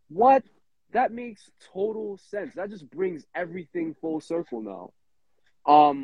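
A man with a New York accent at a high pitch, very wide pitch swings, a fairly slow pace and long, frequent pauses. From Brooklyn, New York City. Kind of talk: casual chat.

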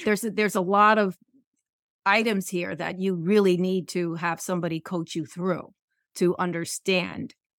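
At a moderate pace and medium pitch, a woman with an unremarkable speaking voice talks with fairly even intonation on a very clean recording with a silent background. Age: 50s. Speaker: podcast host, business owner. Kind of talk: interview.

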